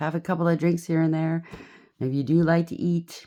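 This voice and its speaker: A woman speaks at a fairly low pitch. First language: not English. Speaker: tarot reader. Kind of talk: tarot reading. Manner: halting.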